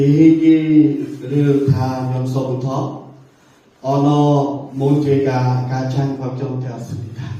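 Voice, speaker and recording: A man's fairly high, flat monotone at a very slow pace, with audible room echo and noticeable background noise. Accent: Cambodian. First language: Khmer (speaking Korean). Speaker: missionary teacher. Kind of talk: sermon. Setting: church. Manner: halting, with filler sounds.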